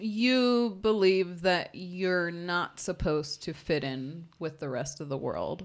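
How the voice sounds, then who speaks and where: Speaking at a very slow pace with hardly any pauses, a woman uses a fairly low pitch and lively intonation. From Arkansas, Mennonite community. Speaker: former Mennonite. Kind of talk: casual interview.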